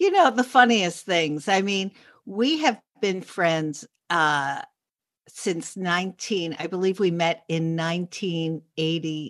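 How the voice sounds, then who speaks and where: A woman with a New York accent, fairly low-pitched, speaking very slowly with ordinary pitch variation. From New York City, Upper East Side. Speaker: journalist and podcaster. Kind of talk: casual chat.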